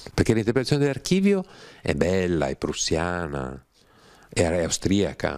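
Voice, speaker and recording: Against a quiet background, a man with a very deep, low voice keeps a moderate pace broken by long, frequent pauses. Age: 60s. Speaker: writer and scholar of religions; interviewee. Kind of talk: interview talk. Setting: studio without audience. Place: home room. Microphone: handheld.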